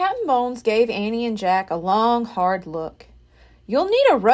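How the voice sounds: A natural reading voice carries the clip. It does not change.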